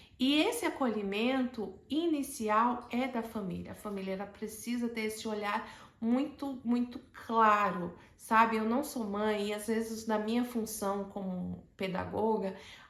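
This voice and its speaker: Fairly high-pitched woman's voice with ordinary pitch variation and audible room echo. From Brazil, Alagoas (Maceió). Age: 40s. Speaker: educator sharing personal story. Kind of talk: personal testimony monologue.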